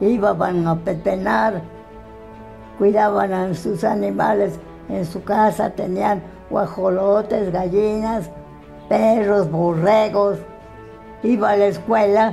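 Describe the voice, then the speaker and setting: A woman speaks very slowly in a flat monotone, leaving long, frequent pauses. Faint music plays in the background. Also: medium pitch for a woman. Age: 80s+. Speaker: interviewee telling her life story. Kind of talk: interview answer. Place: home room.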